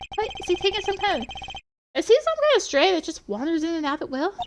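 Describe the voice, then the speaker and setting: A woman's put-on character voice, squeaky and extremely high, at a very fast pace with very wide pitch swings. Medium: game stream. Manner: hesitant, stammering.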